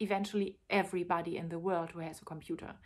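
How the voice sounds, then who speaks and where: A woman with a non-native accent is heard in a very clean recording with a silent background. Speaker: tantra teacher and author. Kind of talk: personal video monologue.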